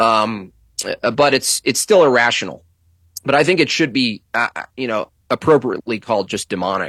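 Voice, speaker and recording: On a very clean recording with a silent background and a dry, close sound with no echo, a man speaks at a medium pitch and moderate pace with lively intonation and a bright, sharp tone. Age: 40s. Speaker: political cartoonist. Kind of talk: casual chat.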